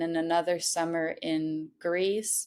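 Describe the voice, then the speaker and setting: With a French Canadian accent, a woman speaks at a fairly slow pace in a fairly low voice. Her intonation stays monotone and flat. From Montreal, Quebec. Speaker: artist. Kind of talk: podcast interview. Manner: halting.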